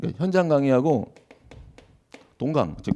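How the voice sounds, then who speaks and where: The man's tone is dark and mellow, heard on a very clean recording against a silent background. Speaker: law lecturer at exam prep academy. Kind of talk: lecture at info session. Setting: lecture hall with audience.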